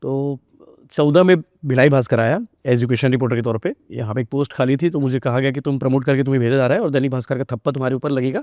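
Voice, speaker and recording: A plain, everyday voice with fairly even intonation comes through with a dry, close sound and no echo. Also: man, medium pitch for a man. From Chhattisgarh, India (Rajnandgaon). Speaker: journalist and news portal founder. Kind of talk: podcast interview.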